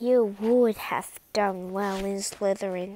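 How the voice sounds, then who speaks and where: Using a put-on character voice, a woman speaks at a fairly slow pace. Her pitch sits in the medium range. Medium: read story. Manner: smart, assured.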